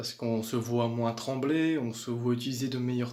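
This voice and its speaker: A man speaks in a calm tone. His pace is moderate. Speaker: fitness vlogger. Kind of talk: casual vlog talk. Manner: hesitant, repeats words.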